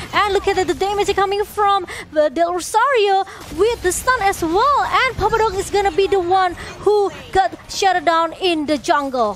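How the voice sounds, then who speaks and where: A woman's extremely high-pitched voice at very even loudness, over noticeable background noise. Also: ordinary pitch variation, moderate pace. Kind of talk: esports shoutcasting.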